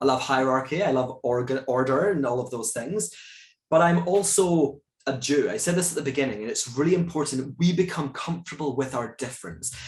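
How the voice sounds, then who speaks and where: Somewhat breathy and fairly high-pitched, a man with a Scottish accent talks at a fairly quick pace with ordinary pitch variation. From Scotland. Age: 30s. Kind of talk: moderated talk Q&A. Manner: animated.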